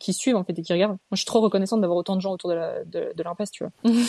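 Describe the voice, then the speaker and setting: A woman's voice at medium pitch. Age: 20s. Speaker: online clothing shop owner. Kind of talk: casual chat. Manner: animated.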